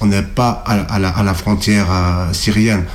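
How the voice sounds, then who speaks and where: Fairly low-pitched male voice at a fairly slow pace, fairly even intonation, over noticeable background noise. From Turkey (Kurdish, Alevi). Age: 40s. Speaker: activist on hunger strike. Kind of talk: interview. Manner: halting, many hesitations.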